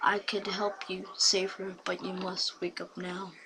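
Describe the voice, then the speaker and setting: A woman puts on a character voice at medium pitch. She speaks at a fairly slow pace, with hissing on the recording. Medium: read story. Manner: commanding.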